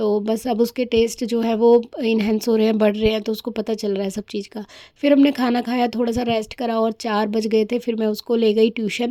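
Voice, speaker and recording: A woman speaks with a fairly high pitch and a dark, mellow tone. Her delivery is monotone and flat at a moderate pace. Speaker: vlogger. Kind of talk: casual vlog narration. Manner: chatty, filler-heavy.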